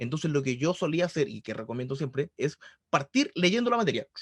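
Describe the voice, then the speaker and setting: A man is speaking. He has a Chilean accent. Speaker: math tutor. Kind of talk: online tutoring session. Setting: video call. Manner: fast.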